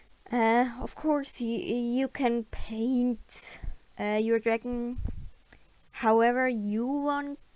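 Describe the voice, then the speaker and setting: Words arrive at a very slow pace. A non-native accent shapes the speech. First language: not English. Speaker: digital artist. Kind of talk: tutorial voiceover. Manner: halting, many fillers; unscripted.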